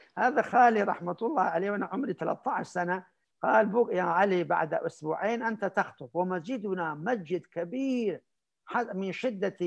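At a moderate pace, a man speaks with a high pitch and ordinary pitch variation over a quiet background. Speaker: Islamic scholar and preacher; preacher. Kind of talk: interview anecdote. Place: home room. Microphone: video call.

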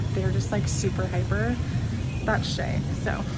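A woman speaks at a fairly quick pace. Music plays in the background. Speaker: mom vlogger. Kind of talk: casual vlog chat. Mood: cheerful, chatty, laughs. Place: shop. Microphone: phone near.

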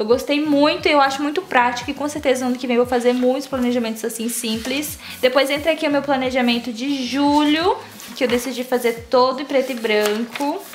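A woman's high voice at a fairly quick pace, fairly even in intonation, over noticeable background noise. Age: 20s. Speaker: youtuber. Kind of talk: casual tutorial vlog.

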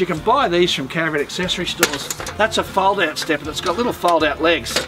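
Over clear background music, a man talks at a fairly quick pace in a high voice with ordinary pitch variation. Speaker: caravan salesman. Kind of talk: product demonstration tutorial. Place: street. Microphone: camera far.

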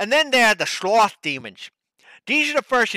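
Against a quiet background, an unforced reading voice moves with ordinary pitch variation.

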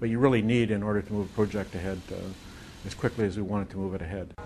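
With light background noise, a man speaks at a very fast pace in a fairly low pitch and fairly even intonation. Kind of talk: interview answer. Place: office.

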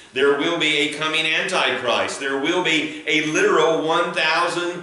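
Amid audible room echo, a man speaks at a fairly slow pace in a monotone, flat intonation. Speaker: pastor. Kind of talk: sermon. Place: church. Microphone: camera far.

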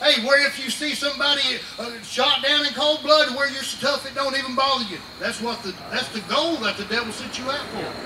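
A raised, projected voice at a fairly quick pace, with fairly even intonation over noticeable background noise. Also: man, extremely high pitch for a man, hardly any pauses. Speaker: preacher. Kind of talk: revival sermon. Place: tent.

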